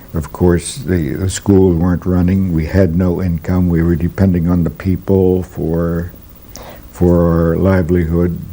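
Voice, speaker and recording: Loud enough to hear, background noise sits behind a man with an American accent. His very deep, low voice is monotone and flat at a fairly slow pace. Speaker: Jesuit priest. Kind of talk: interview. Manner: halting, many fillers.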